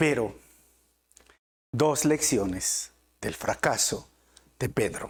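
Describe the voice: Speaking at a very slow pace, a man has a slightly husky edge and lively intonation. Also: medium pitch for a man.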